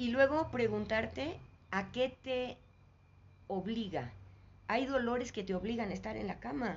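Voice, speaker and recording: A woman with very wide pitch swings and vocal fry, at a fairly slow pace. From Mexico, Mexico City. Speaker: spiritual teacher. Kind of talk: interview. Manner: halting.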